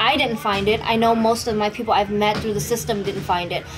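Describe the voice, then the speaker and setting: Music plays in the background as a woman talks fairly quickly, her fairly high pitch rising and falling with ordinary variation. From Vietnam, raised from age 8 in East Oakland, California. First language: Vietnamese. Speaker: Muay Thai and MMA fighter. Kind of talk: event promotion; interview testimony. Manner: casual, halting with repetitions.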